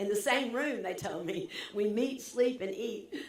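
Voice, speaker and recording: Distinct background noise and some echo from the room accompany a woman's voice. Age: 70s. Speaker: commencement speaker, former nonprofit CEO. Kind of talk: commencement address.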